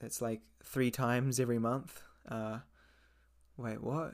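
A man with a New Zealand accent talks in a monotone, flat intonation. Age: 20s. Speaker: English teacher and podcast host. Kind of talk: casual monologue for English learners.

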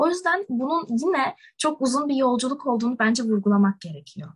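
A woman with a high pitch and lively intonation talks at a fairly quick pace, the sound dry and close with no echo. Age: young. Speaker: university student, podcast co-host. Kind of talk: casual chat.

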